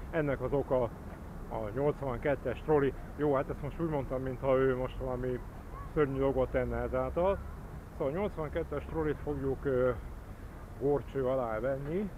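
A man's dark, mellow voice, dry with no echo, at a fairly slow pace with long, frequent pauses, over noticeable background noise. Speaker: transit enthusiast vlogger. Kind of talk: casual vlog chat. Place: street. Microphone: phone near.

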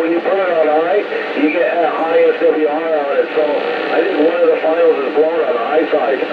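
At a moderate pace, a man talks through loud background noise. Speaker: distant radio operator. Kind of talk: radio chat. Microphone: two way radio.

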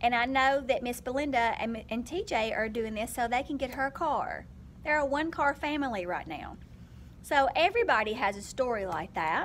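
A woman's high voice with lively intonation at a moderate pace, over light background noise. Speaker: vlogger, teacher. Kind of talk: casual vlog chat. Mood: earnest, persuasive. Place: classroom. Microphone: phone near.

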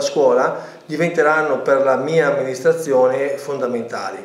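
Audible room echo surrounds a man speaking at a moderate pace in a fairly high pitch. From Lombardy, Italy. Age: 50s. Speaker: mayoral candidate, architect and teacher. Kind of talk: interview answers, political campaign talk. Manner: formal, somewhat halting with fillers. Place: home room. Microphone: webcam.

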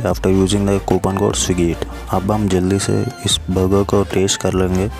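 A man's fairly low voice, dry with no echo, with clear music in the background. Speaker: food reviewer. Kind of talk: casual vlog chat. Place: home room. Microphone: phone near.

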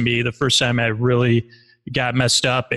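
A man with an American accent talks at a moderate pace in a medium pitch, the sound dry and close with no echo. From Syracuse, New York. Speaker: podcast host and storyteller. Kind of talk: interview.

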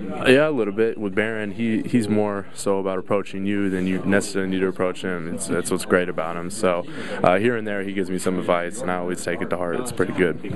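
A man with a very deep, low pitch talks at a very fast pace with hardly any pauses and fairly even intonation. The sound is dry with no echo, and there is noticeable background noise. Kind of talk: interview answer. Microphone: handheld.

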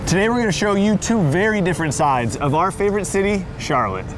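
Over noticeable background noise, a man speaks very fast in an upbeat tone at a high pitch, with lively intonation and very even loudness. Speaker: hype man and event host. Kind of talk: travel show hosting to camera.

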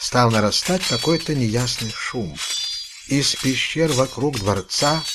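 A passage is read aloud in a natural voice.

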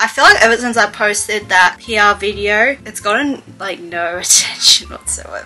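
Faint music plays in the background. Over it, a woman speaks with an Australian accent. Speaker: lifestyle vlogger. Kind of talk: casual talk to camera. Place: home room. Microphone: webcam.

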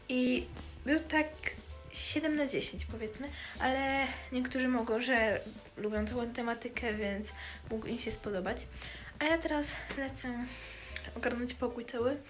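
Clear music plays in the background as a woman speaks at a high pitch with ordinary pitch variation. She goes at a fairly slow pace with long, frequent pauses. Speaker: vlogger. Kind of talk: casual vlog chat. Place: home room. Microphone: webcam.

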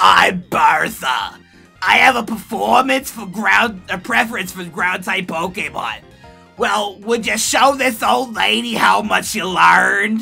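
A raspy, put-on character voice at a middle pitch talks at a fairly slow pace over faint music in the background.

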